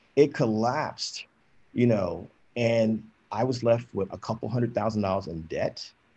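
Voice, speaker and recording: Fairly low in pitch, a man speaks in a somewhat breathy voice with a dark, mellow tone. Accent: American. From New Jersey. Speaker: author and activist; panelist. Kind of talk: panel discussion. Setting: video call. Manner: passionate. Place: home room. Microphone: video call.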